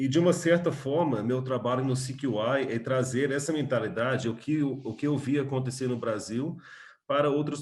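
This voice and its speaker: Somewhat breathy male voice, medium pitch, moderate pace, quiet background. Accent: American. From USA, Texas (Austin). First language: English (speaking Portuguese). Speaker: coffee business owner and trainer. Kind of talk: webinar talk. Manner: halting, many fillers.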